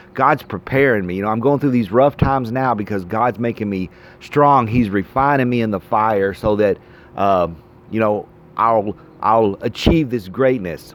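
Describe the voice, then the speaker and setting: A man talks at a moderate pace in an ordinary speaking voice. His pitch sits at a medium level with ordinary pitch variation. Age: 40s. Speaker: vlogger. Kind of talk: casual monologue.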